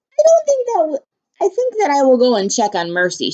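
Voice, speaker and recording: A woman puts on a character voice, high in pitch. She speaks at a moderate pace. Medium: read story.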